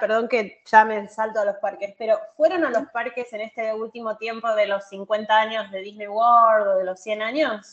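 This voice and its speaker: At a moderate pace and with hardly any pauses, a woman with a Rioplatense accent speaks in a fairly high pitch, with ordinary pitch variation. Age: 30s. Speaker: social media content creator. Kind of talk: casual chat.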